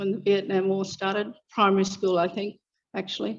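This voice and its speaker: A woman with an Australian accent talks at a medium pitch against a quiet background. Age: 60s. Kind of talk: public speech. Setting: public meeting.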